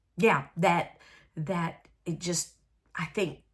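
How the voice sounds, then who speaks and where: In a very clean recording with a silent background, a woman with a Southern US accent speaks fairly slowly at a fairly low pitch. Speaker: crafting video host. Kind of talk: casual crafting chat to camera. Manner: hesitant with many fillers.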